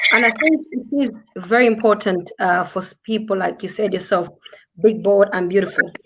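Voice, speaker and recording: In a strong African accent, a woman speaks at a medium pitch. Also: ordinary pitch variation, moderate pace. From southern Africa (Zambia/Zimbabwe). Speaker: business talk show host. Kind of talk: casual panel chat. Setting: live stream.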